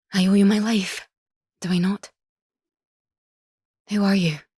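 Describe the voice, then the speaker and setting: Quiet and breathy, a woman does a put-on character voice at medium pitch with monotone, flat intonation and a moderate pace. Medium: read story. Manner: biting.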